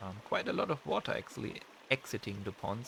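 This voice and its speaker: At a moderate pace, a man with a non-native accent speaks in a bright, sharp tone. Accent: non-native English, audible. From Germany. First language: German. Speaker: gaming YouTuber. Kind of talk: gameplay commentary. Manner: halting, many fillers; relaxed, casual.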